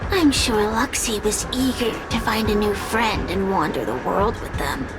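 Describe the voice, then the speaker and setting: A put-on character voice speaks at a moderate pace over loud background noise. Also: female-sounding voice, fairly high pitch for a woman. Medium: machinima. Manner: mocking, brash.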